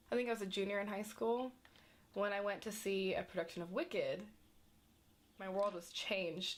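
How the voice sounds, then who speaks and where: In an American accent, a woman talks fairly quickly at medium pitch. Her pitch varies in an ordinary way. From US Midwest (rural Indiana). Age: 20s. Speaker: acting student. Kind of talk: documentary interview.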